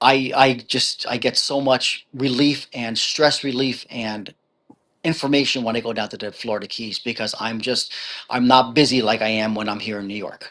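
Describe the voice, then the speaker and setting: A strong New Jersey accent in a bright, sharp tone, with fairly even intonation at a moderate pace. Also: man, medium pitch for a man. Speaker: author. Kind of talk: interview. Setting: live video stream.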